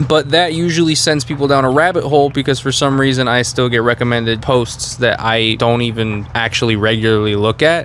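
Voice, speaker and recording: A man with an American accent talks at a fairly quick pace with hardly any pauses. His loudness stays very even over noticeable background noise. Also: medium pitch for a man, ordinary pitch variation. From US, Mexican American family. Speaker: YouTuber, design content creator. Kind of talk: casual opinion talk to camera. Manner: casual, conversational.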